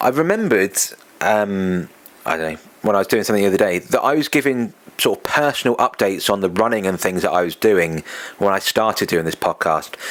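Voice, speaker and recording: A man with an English accent talks at a very fast pace over noticeable background noise. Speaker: podcast host and running event organiser. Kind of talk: casual solo podcast monologue. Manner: conversational, with fillers.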